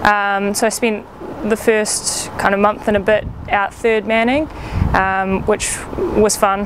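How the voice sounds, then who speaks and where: Speaking at a very slow pace with a New Zealand accent, a woman keeps very even loudness and fairly even intonation over noticeable background noise. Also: medium pitch for a woman. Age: 20s. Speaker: paramedic. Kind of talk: casual talk to camera. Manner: slightly awkward, hesitant.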